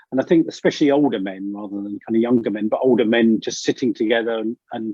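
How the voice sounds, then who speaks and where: Someone with an English accent speaks at a fairly quick pace in a dark, mellow tone. The sound is dry and close, with no echo. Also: man. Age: 60s. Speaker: leadership coach. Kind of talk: interview conversation. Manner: halting.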